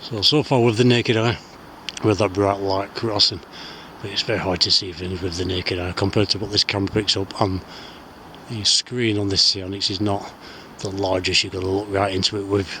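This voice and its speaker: Speaking with a strong Lancashire accent, a man talks at a fairly quick pace with fairly even intonation. His pitch is fairly low, and there is noticeable background noise. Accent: broad Lancashire. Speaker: outdoor skywatching vlogger. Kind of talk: solo outdoor vlog narration. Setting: outdoors on hilltop moorland at night. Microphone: camera's built-in audio.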